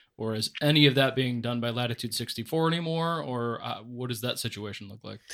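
A man's normal speaking voice at a medium pitch, with ordinary pitch variation, big swings in loudness, a fairly quick pace and hardly any pauses, on a very clean recording with a silent background. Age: 30s. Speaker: disc golf shop owner and co-host. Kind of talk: casual chat.

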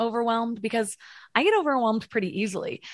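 A plain, everyday voice is heard against a quiet background. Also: woman. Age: 30s. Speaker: mindset coach and podcast host. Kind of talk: interview.

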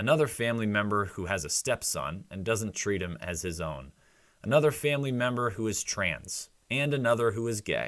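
In a very clean recording over a silent background, a man with a normal speaking voice talks at a moderate pace with lively intonation. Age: 30s. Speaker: podcast host. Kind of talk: solo commentary podcast.

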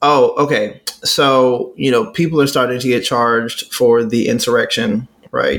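The pace is moderate and the loudness very even. A man speaks with an American accent. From Texas. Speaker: podcast co-host. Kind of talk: casual chat.

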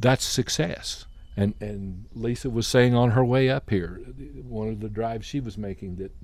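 A plain, everyday voice keeps to a moderate pace. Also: man. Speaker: retired soil health farmer and advocate. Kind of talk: casual porch chat interview. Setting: outdoors on a porch.

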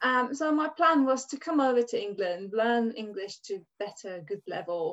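Pitch swings very widely in this voice, delivered with a Hungarian accent. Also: woman. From Hungary. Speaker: dance and hula hoop teacher. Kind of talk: casual interview chat.

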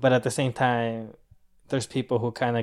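Monotone, flat intonation from a man at medium pitch, on a very clean recording with a silent background. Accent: American. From Southern California, Orange County. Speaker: landscaper. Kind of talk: casual chat.

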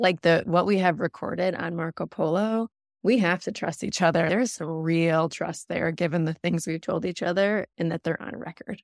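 With an American accent, a woman talks at a moderate pace in an unremarkable speaking voice, fairly low-pitched with fairly even intonation, hardly any pauses and a dry, close sound with no echo. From Michigan, US. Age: 30s. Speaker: donor-conceived sibling. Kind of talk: casual group interview.

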